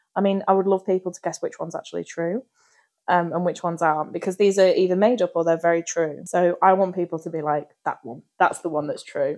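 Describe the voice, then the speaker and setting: Talking at a very fast pace, a woman with a fairly low pitch swings widely in loudness. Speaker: podcast co-host. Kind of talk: casual chat. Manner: animated.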